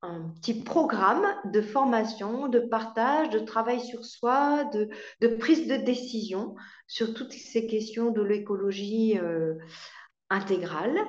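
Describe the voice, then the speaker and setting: Someone speaks at a very slow pace with audible room echo. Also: woman, fairly high pitch for a woman, ordinary pitch variation. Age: 60s. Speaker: marriage and family counselor. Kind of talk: testimony. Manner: hesitant, with fillers and repetitions.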